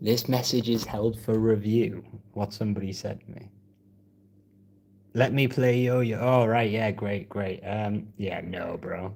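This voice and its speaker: With a northeast English accent, a man talks at a fairly slow pace, his intonation fairly even while his loudness swings widely. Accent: northeast English (Geordie-type). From northeast England. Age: 20s. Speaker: piano live streamer. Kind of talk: casual chat. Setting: live stream. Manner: relaxed, halting with fillers.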